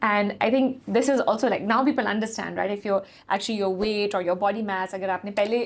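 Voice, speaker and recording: Over noticeable background noise, a woman's very fast speech shows ordinary pitch variation. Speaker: fitness company founder and podcast host. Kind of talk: podcast interview host. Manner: code-switching between English and Urdu.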